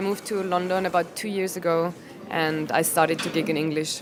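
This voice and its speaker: A woman speaks at a medium pitch with an Austrian accent, her intonation fairly even. Her pace is fairly quick, and music plays in the background. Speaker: comedian. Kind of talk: interview. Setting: comedy venue before a show. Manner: hesitant, many ums and restarts.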